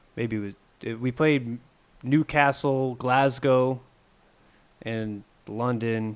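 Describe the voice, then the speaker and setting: Speaking at a very slow pace with long, frequent pauses, a man with a northern New York accent keeps a medium pitch and fairly even intonation. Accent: northern New York American. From upstate New York, near the Quebec/Ontario border. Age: 30s. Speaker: metal guitarist. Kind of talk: casual interview chat. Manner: halting, many fillers and restarts.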